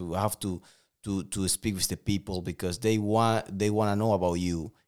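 A man speaks in a Spanish accent at a moderate pace, his pitch fairly low. His intonation is flat and monotone, and the recording is very clean with a silent background. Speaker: professional boxer. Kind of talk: interview.

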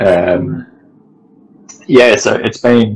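A man is speaking. He has an Australian accent. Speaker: multi-sport athlete and photographer. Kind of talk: casual interview chat. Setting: video call. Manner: hesitant, many fillers.

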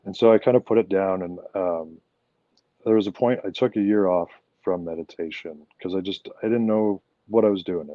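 A man speaks fairly quickly with a western Canadian accent. His pitch is fairly low and his intonation fairly even. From Canada, Alberta. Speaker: professional wrestler. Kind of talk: interview.

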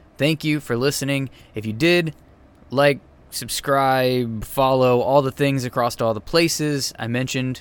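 A man with an ordinary speaking voice and medium pitch talks at a moderate pace. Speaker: podcast host. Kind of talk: casual chat.

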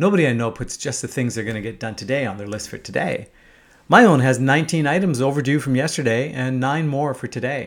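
Here a man has an unremarkable speaking voice at medium pitch, with lively intonation. He goes at a fairly quick pace in a very clean recording with a silent background. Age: 50s. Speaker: podcast host and entrepreneur. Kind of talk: monologue essay reading.

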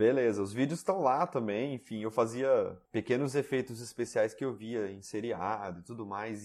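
A man with an unremarkable speaking voice talks at a fairly slow pace, with ordinary pitch variation. The recording is very clean, with a silent background. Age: 30s. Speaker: 3D printing YouTuber. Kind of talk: interview.

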